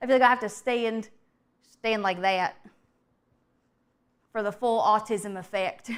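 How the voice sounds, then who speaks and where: A woman with a Southern US accent speaks in an animated tone at a fairly high pitch and a fairly slow pace. Long, frequent pauses break up her speech in a very clean recording with a silent background. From US South. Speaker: vtuber streamer. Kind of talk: casual livestream chat while cooking.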